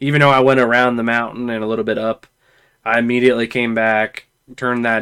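A man speaks at a medium pitch in a bright, sharp tone. His intonation stays monotone and flat. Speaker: podcast host. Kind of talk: casual chat.

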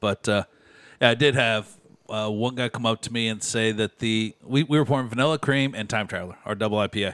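A man with a plain, everyday voice speaks at medium pitch and a fairly quick pace with fairly even intonation, in a very clean recording with a silent background and a dry, close sound with no echo. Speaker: beer podcast co-host. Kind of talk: casual chat. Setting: studio.

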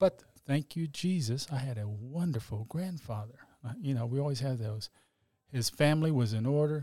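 Somewhat breathy, a man speaks with a Texan accent and ordinary pitch variation. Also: medium pitch for a man, moderate pace. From Texas, Oak Cliff (Dallas). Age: 60s. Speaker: accident survivor, church worship singer. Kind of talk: testimony.

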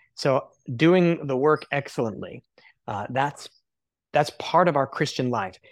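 Over a very clean recording with a silent background, a man with an American accent and a normal speaking voice talks fairly slowly at a fairly high pitch, with ordinary pitch variation. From United States. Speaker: missionary and cafe owner. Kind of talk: interview.

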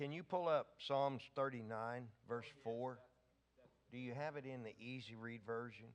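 Fairly slow tempo and fairly even intonation in a man's medium-pitched delivery, an unremarkable speaking voice. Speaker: visiting minister giving prophetic words. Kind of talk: sermon / prophetic ministry. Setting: church.

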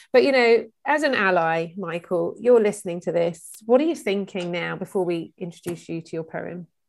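In a very clean recording with a silent background, a normal speaking voice moves at a moderate pace with lively intonation and big swings in loudness. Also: woman, medium pitch for a woman. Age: 40s. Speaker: chat show host. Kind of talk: panel discussion.

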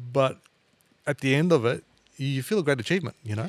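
This man talks very fast. He has an Australian accent. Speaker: podcast host, music teacher. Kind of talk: casual interview.

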